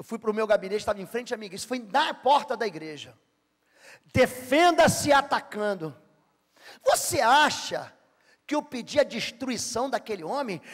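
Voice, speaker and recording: A man with a Rio de Janeiro accent speaks in an extremely high pitch with an animated tone. His pace is moderate, with long, frequent pauses. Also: lively intonation. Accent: Rio de Janeiro (carioca). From Brazil, Rio de Janeiro. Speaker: pastor. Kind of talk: sermon.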